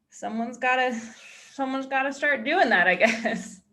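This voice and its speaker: In an American accent, a woman with a bright, sharp, high voice talks at a moderate pace with ordinary pitch variation, and room echo is audible. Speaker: entomologist and science YouTuber. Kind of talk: panel discussion.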